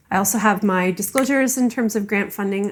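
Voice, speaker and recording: This woman's mid-range voice moves fairly quickly, with ordinary pitch variation. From Canada. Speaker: professor and AI ethics researcher. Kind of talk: conference talk. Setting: conference stage with audience.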